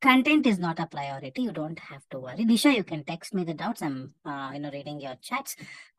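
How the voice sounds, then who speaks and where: A woman with an Indian accent talks at a fairly quick pace, her voice somewhat breathy. Her pitch swings very widely in a dry, close sound with no echo. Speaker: English test coach. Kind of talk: live online class.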